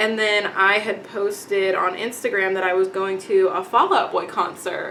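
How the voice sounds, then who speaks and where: A woman with a slight Texan accent speaks with lively intonation over noticeable background noise. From Texas, Dallas-Fort Worth. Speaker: beauty vlogger. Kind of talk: casual chat. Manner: casual, many fillers.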